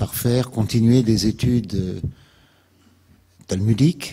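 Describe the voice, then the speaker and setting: At a very slow pace, a man speaks in a dark, mellow tone of medium pitch with ordinary pitch variation. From France, Alsace (Strasbourg). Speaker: activist, invited speaker. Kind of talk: public lecture. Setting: lecture hall with audience. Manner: hesitant, many filler sounds.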